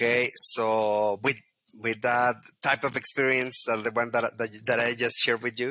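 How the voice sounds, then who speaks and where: A man with a Spanish accent at a moderate pace, medium pitch, bright and sharp tone, flat monotone intonation, and very even loudness. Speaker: Lean Six Sigma trainer. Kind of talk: interview. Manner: halting.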